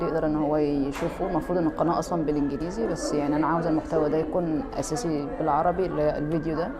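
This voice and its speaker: A woman's very deep, low voice with ordinary pitch variation at a fairly quick pace, with audible room echo and noticeable background noise. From Egypt, Port Said. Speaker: YouTuber, graduate student. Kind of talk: vlog. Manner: halting.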